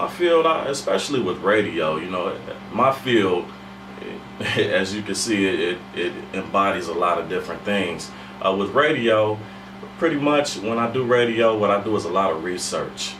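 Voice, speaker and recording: Noticeable background noise sits behind a man speaking at a moderate pace. His pitch is fairly low, and his intonation is lively. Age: young. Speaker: radio host and voice actor. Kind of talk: interview answer.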